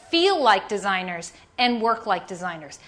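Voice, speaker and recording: A woman's bright, sharp, animated voice with an American accent at a moderate pace. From New York, Staten Island. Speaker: design leader and keynote speaker. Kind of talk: keynote presentation. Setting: conference stage with audience.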